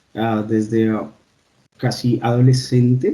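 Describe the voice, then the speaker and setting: Medium-pitched male speech, dark and mellow in tone and somewhat breathy, with monotone, flat intonation at a fairly slow pace. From Colombia. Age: 30s. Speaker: doctor. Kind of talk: interview.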